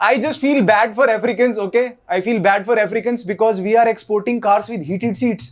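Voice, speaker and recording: A man's high-pitched voice with fairly even intonation and hardly any pauses. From Haryana, India. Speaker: stand-up comedian. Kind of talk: stand-up comedy set.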